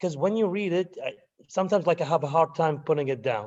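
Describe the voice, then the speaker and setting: Speaking with a non-native accent, a man uses a high pitch and a fairly quick pace. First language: not English. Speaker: university student. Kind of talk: class testimonial. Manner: halting.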